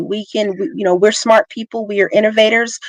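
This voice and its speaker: Recorded with dry, close sound and no echo, a woman has an unremarkable speaking voice, a fairly high pitch and ordinary pitch variation. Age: 40s. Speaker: tech professional. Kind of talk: casual chat.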